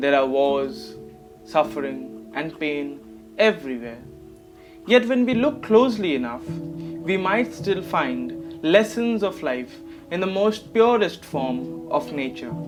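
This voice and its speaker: This man talks very slowly. Behind him, music is playing. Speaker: poet. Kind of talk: spoken word introduction.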